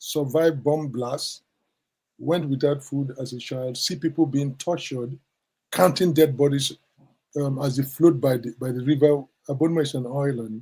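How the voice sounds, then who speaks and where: This man's voice is fairly high and somewhat breathy. His intonation stays fairly even. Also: moderate pace. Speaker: professor of social ethics. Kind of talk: interview answer.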